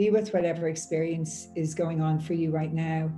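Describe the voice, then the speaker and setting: Music plays in the background as a woman with an Irish accent speaks at a fairly low pitch. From Ireland. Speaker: meditation guide. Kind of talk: guided meditation. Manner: slow, soft-spoken. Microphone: earbuds.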